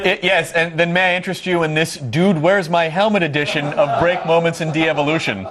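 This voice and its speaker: Speaking at a very fast pace with hardly any pauses, a man with an American accent uses a high pitch and fairly even intonation amid noticeable background noise and audible room echo. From US South. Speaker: tv host. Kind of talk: casual banter.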